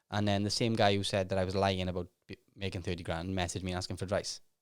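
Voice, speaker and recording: A man's very deep, low voice in a Welsh accent, mumbling at a very fast pace with monotone, flat intonation, on a very clean recording with a silent background. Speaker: self-made millionaire and author. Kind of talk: podcast interview.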